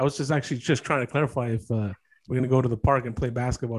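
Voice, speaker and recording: A man speaks at a very fast pace with fairly even intonation. His medium-pitched voice is somewhat breathy. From Mexican-American. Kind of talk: casual chat. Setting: video call.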